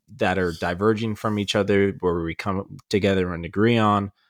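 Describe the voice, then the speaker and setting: In a normal speaking voice, a man talks at a fairly low pitch with ordinary pitch variation on a very clean recording with a silent background. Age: 20s. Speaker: podcast co-host. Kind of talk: casual chat.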